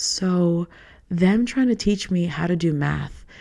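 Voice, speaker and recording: A woman's dark, mellow voice, fairly low in pitch, with a New York accent. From New York (Queens, Long Island). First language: Spanish. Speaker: podcast host. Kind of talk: casual monologue. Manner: casual, filler-heavy.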